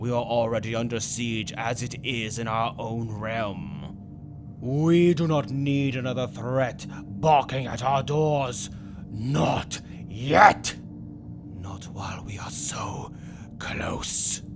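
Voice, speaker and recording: Over loud background noise, a man puts on a character voice at a medium pitch. He speaks at a very slow pace. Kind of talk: comic dub role play. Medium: dub.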